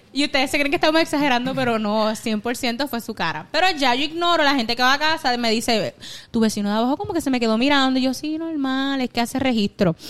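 Speaking at a very fast pace, a woman uses a high pitch and lively intonation. She leaves hardly any pauses. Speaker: podcast co-host. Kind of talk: casual chat.

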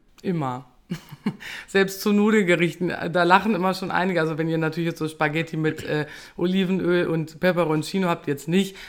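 A woman speaks at a fairly quick pace in a plain, everyday voice with fairly even intonation, on a very clean recording with a silent background. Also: fairly low pitch for a woman. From Lower Saxony, Germany. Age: 30s. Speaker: restaurant owner. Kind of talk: casual chat; recipe tutorial.

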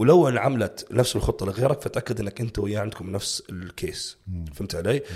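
A somewhat breathy man with lively intonation, in a very clean recording with a silent background. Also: fairly low pitch for a man, moderate pace. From Jordanian family, raised in Saudi Arabia. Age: 30s. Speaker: bodybuilding coach. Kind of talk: casual interview chat.

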